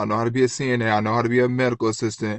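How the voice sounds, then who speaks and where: The pace is very fast. The tone is animated. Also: man, quiet background. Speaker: vlogger, former nursing student. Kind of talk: rant storytime monologue.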